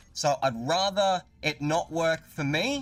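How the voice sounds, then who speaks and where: With an Australian accent, a man speaks at a fairly high pitch and lively intonation. Music plays in the background. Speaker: gaming YouTuber. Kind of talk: live stream gameplay commentary. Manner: animated.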